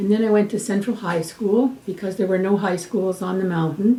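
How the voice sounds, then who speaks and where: Over noticeable background noise, a woman talks at a moderate pace. Her intonation stays fairly even. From Hamilton, Ontario, Canada. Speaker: retired nurse and nursing educator. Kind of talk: oral history interview. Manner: halting, with fillers and repetitions.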